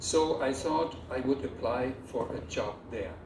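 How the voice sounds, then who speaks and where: Amid audible room echo and noticeable background noise, a man with a fairly high voice speaks at a fairly slow pace using lively intonation. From Germany, Rhineland. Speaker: photographer. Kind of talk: ceremony speech. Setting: theater with audience.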